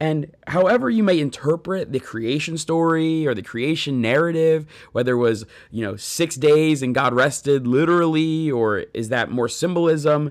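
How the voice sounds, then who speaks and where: Against a quiet background, a man with an unremarkable speaking voice talks at a moderate pace in a fairly high pitch with ordinary pitch variation. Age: 30s. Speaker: pastor and podcast host. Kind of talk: faith podcast monologue.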